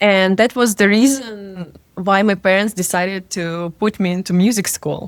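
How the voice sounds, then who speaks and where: A woman speaks at a moderate pace with a Russian accent. Her pitch is medium and her intonation fairly even. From Russia, Siberia. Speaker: DJ and music producer. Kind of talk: interview. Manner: hesitant, many fillers.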